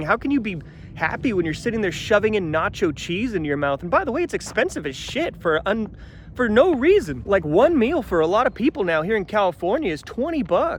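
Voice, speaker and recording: The pitch swings very widely at a fairly quick pace. Noticeable background noise runs underneath. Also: man, high pitch for a man. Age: 30s. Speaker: vlogger. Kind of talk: casual vlog monologue. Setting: outdoors in the desert. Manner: animated.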